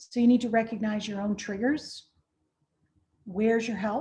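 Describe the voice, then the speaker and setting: Somewhat breathy and dark, mellow in tone, a woman speaks at a fairly high pitch. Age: 60s. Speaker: de-escalation trainer. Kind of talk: virtual training presentation.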